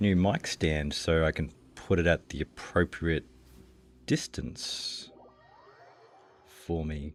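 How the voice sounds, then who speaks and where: Marked by vocal fry, the speech carries an Australian accent and fairly even intonation. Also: man. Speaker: video game streamer. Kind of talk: casual chat while gaming. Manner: casual, hesitant with many fillers. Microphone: new mic stand, mic at proper distance.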